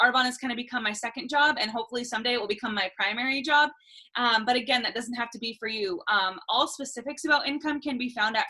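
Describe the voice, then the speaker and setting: Her high voice moving at a very fast pace, a woman speaks with ordinary pitch variation. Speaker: sales consultant and nurse. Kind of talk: sales pitch.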